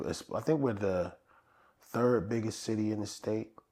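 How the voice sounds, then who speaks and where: In an ordinary speaking voice, a man with an American accent talks at a fairly quick pace and fairly low pitch. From upstate New York, Rochester. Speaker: comedian. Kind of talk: casual chat.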